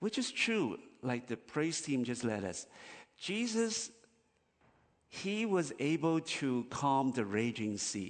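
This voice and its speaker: Speech moves at a very slow pace with long, frequent pauses and very wide pitch swings over a quiet background. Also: man. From Chinese diaspora. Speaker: missionary pastor. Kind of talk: sermon. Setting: church. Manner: halting, many fillers.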